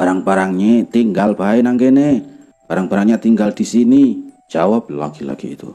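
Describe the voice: Lively intonation marks this plain reading aloud.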